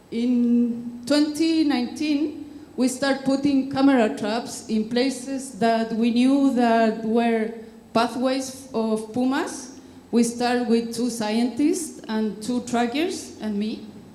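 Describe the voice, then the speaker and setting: A woman with a Spanish accent, high-pitched and very slow, with fairly even intonation, audible room echo and noticeable background noise. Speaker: conservationist. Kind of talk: conference talk. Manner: halting.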